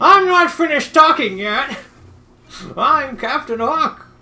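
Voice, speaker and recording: A high, put-on character voice moves at a fairly slow pace. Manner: bombastic, indignant.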